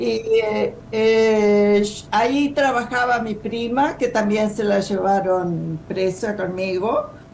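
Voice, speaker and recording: Speaking at a very slow pace, a woman with a fairly high pitch and ordinary pitch variation is heard over noticeable background noise and audible room echo. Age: 70s. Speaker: former political prisoner, retired rural teacher. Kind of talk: testimony. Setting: video call.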